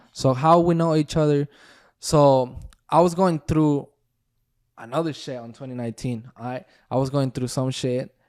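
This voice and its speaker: A man with a Spanish accent, fairly high-pitched, at a moderate pace with long, frequent pauses, fairly even intonation and big swings in loudness, on a very clean recording with a silent background. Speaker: former pro baseball player and businessman. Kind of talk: casual podcast chat.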